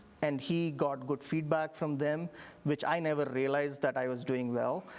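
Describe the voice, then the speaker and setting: A man with an Indian accent talks at a fairly high pitch with fairly even intonation. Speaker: engineering professor. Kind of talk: interview. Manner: halting.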